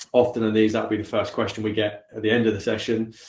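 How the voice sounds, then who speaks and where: Breathiness is somewhat present in this voice. Its delivery comes at a fairly quick clip. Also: man. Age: 40s. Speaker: company founder. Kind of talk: panel talk.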